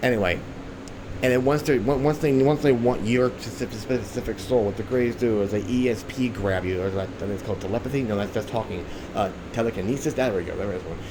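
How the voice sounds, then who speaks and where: Audible room echo surrounds a voice moving at a very fast pace with ordinary pitch variation. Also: man, medium pitch for a man. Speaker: conspiracy vlogger. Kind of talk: rant monologue. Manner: rambling, halting; profane, agitated.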